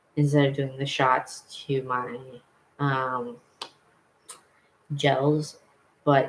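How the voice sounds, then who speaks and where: A man speaks in a flat monotone at a medium pitch. His voice is somewhat breathy. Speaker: vlogger. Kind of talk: casual vlog chat.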